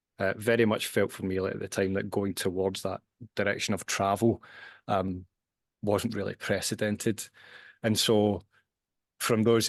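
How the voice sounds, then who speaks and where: A man with a Glasgow accent and a fairly low pitch talks at a moderate pace in a monotone, flat intonation, the sound dry and close with no echo. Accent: Scottish (Glasgow). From Scotland, Glasgow. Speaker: scientist and author. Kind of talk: podcast interview. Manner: hesitant, repeats words.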